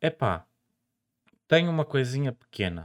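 A man's voice swings very widely in pitch. The recording is very clean and silent behind him, with a dry, close sound and no echo. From northern Portugal. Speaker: podcast host. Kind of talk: casual chat.

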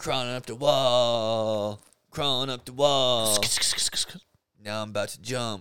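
At a fairly slow pace, the speaker puts on a character voice. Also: man. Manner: frantic, eager.

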